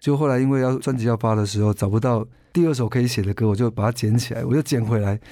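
This man has a medium-pitched, dark, mellow voice with fairly even intonation and very even loudness, talking at a very fast pace. The recording is very clean, with a silent background. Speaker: singer-songwriter and music producer. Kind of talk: interview.

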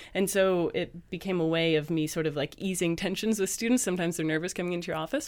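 In a Canadian accent, a woman speaks at a very fast pace with a fairly low pitch. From Canada. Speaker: university lecturer. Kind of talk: casual chat. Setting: studio.

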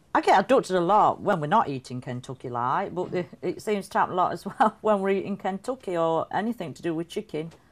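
Very fast and full of lively intonation, a woman talks at medium pitch with a northern English accent. The background is quiet. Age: 40s. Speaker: alien abductee. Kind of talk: documentary interview.

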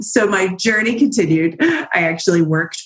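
A woman speaks fairly slowly, her pitch varying in an ordinary way, while music plays in the background. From southern New Jersey. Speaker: business founder, affiliate marketing expert. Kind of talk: interview.

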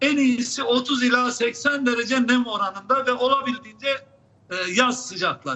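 A man speaks with an extremely high pitch at a fairly slow pace. Noticeable background noise can be heard. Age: 70s. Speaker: public health professor. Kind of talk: live TV interview. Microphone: unstable connection, drops out.

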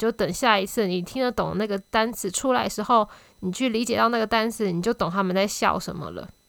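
A woman talks at a very fast pace with fairly high pitch and ordinary pitch variation. The recording is very clean, with a silent background. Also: hardly any pauses. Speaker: podcast host. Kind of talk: casual solo monologue. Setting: home recording with new microphone.

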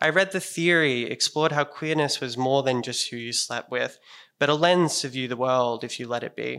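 A man with an Australian accent uses a bright, sharp tone at medium pitch, with ordinary pitch variation and a moderate pace. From Sydney, Australia. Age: 20s. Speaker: storyteller. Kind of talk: storytelling performance. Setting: stage with audience.

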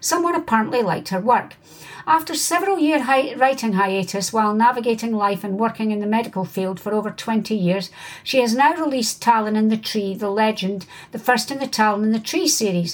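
Her pitch fairly high, a woman talks at a fairly quick pace with lively intonation. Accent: Scottish. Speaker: podcast host. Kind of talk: interview.

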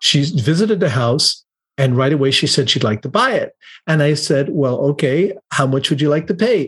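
Somewhat breathy and fairly high in pitch, a man speaks at a moderate pace with lively intonation and very even loudness. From Ireland. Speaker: motivational speaker and event presenter. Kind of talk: podcast interview. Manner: talkative.

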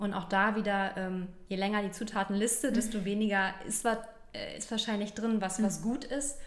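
A woman at a moderate pace with fairly even intonation and audible room echo. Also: medium pitch for a woman. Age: 30s. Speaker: health and prevention advisor in training. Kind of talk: interview. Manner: halting.

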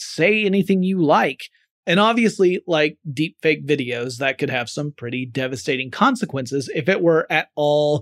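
With a slight Southern US accent, the speaker goes at a moderate pace and hardly pauses at all. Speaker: podcast host. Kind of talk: solo podcast monologue.

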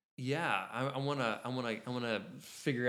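This man has a plain, everyday voice at a medium pitch, with ordinary pitch variation. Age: 20s. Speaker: photography podcast co-host. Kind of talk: tutorial; casual chat.

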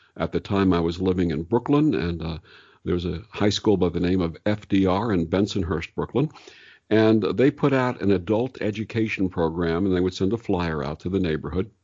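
Speaking at a middling speed, the man has a very deep, low voice. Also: ordinary pitch variation. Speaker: radio host and meditation guide. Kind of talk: interview about spirituality. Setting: remote, separate rooms. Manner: calm.

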